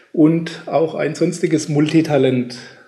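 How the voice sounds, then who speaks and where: Noticeable background noise behind a man's fairly slow speech. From Germany. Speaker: podcast host. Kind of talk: interview.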